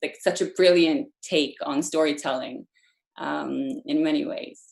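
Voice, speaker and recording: Speaking at a fairly slow pace, a woman talks with a Norwegian accent. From Norway. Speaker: storytelling coach. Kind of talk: online workshop Q&A. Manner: casual with many fillers.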